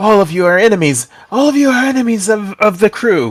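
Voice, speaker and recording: In a put-on character voice, a man growls at a high pitch. His delivery is fairly quick with lively intonation. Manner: snarling, aggressive.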